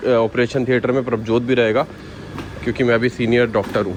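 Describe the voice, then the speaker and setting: A man's voice at medium pitch, with noticeable background noise. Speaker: vlogger. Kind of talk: casual vlog chat. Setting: in a car. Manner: loud; playful, joking.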